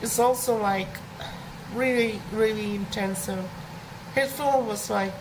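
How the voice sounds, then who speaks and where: A woman speaks at a fairly slow pace and fairly high pitch with fairly even intonation, amid noticeable background noise and audible room echo. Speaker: animation streamer. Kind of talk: casual live stream talk. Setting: live stream. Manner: halting, many fillers.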